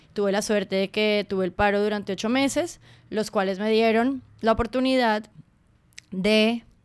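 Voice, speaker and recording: Using a normal speaking voice, a woman talks at a moderate pace, fairly high in pitch, with fairly even intonation. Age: 30s. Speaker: podcast host and art student. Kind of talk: casual chat. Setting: dining table at home.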